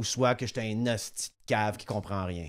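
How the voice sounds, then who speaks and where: In a very clean recording over a silent background, a man's pitch varies in an ordinary way. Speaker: podcast host. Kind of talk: casual chat. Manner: loud.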